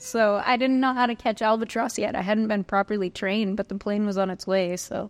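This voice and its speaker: A woman speaks in a normal speaking voice at a medium pitch. Her pace is fairly quick, with fairly even intonation and hardly any pauses. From Northern California. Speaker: citizen science association executive officer. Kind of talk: interview. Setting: pub meal.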